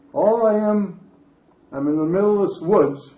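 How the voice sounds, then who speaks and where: A man speaks with an American accent at a moderate pace. His intonation is lively, and there is audible room echo. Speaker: senior resident sharing memories. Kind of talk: storytelling talk.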